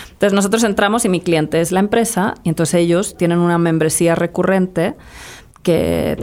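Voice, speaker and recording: An unremarkable speaking voice from a woman, fairly low in pitch, at a moderate pace with ordinary pitch variation. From Spain, Madrid. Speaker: entrepreneur. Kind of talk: interview.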